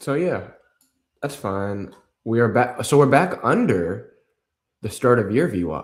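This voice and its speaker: With vocal fry and very wide pitch swings, a man speaks at a fairly slow pace, leaving long, frequent pauses. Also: medium pitch for a man. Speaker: day trader streamer. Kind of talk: live stream chart analysis. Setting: live stream.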